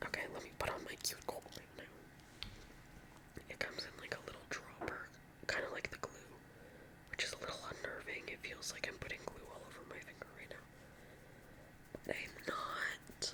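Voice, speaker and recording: Whispering in an American accent, a woman keeps a moderate pace broken by long, frequent pauses, with noticeable background noise behind her. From California. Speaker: ASMR creator. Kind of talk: casual chat. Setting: home at night. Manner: soft-spoken.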